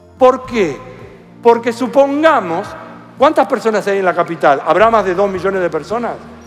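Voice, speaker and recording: Music plays in the background as a man with a high pitch speaks at a moderate pace with lively intonation. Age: 60s. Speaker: mathematician. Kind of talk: interview.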